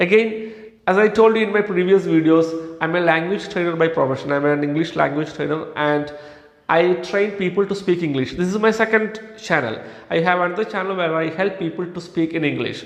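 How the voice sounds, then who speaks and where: In a Kerala accent, the speaker moves at a fairly quick pace with ordinary pitch variation, over noticeable background noise. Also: man, high pitch for a man. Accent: Indian English (Kerala). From India, Kerala. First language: Malayalam. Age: 30s. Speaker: English language trainer, YouTuber. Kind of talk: motivational talk.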